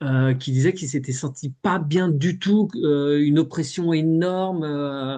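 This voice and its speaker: Against a quiet background, a man with a dark, mellow tone and fairly high pitch speaks at a very slow pace with hardly any pauses. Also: ordinary pitch variation. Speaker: hypnosis session guide. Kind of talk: group discussion. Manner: halting.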